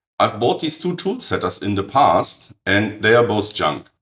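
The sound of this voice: A man talks at a fairly slow pace with a fairly low pitch and big pitch swings. His raspy voice has a fairly bright tone with a slightly husky edge.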